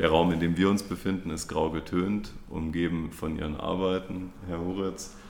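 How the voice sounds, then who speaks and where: A man's very deep, low voice in monotone, flat intonation, moderately paced with hardly any pauses, with audible room echo. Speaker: podcast host. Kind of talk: interview. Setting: gallery. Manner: formal.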